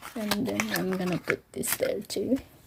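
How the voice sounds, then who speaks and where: Noticeable background noise surrounds a woman who talks at a very slow pace. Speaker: vlogger. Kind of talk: unboxing vlog. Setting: at home, ready for bed. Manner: whispering; excited exclamations.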